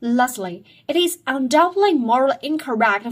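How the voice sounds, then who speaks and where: A woman speaks at a fairly slow pace with a non-native accent. Her pitch is high. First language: not English. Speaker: student sharing school assignments. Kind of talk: reading aloud a debate speech. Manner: halting.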